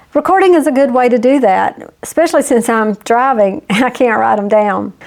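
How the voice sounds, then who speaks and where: A woman's high-pitched voice with lively intonation and a fairly quick pace against noticeable background noise. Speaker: YouTube business coach. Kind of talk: casual talk to camera. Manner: friendly, conversational.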